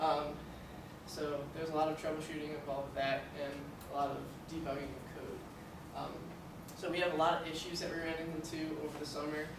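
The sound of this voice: A man's fairly high voice at a fairly quick pace, with little pitch movement, audible room echo and clear background noise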